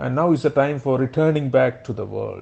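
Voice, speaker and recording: A man speaks at a moderate pace with a Keralan accent. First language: Malayalam. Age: 60s. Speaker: motivational speaker. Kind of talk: personal narration.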